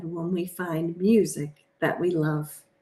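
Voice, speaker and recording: A woman's put-on character voice, fairly low in pitch, monotone and flat, at a fairly slow pace. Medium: read story.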